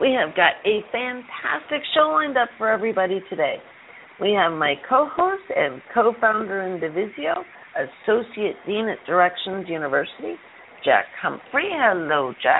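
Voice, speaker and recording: A woman's fairly high voice with an American accent and very wide pitch swings, over noticeable background noise. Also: moderate pace. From Chicago. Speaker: radio show co-host. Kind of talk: interview. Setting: call-in radio show.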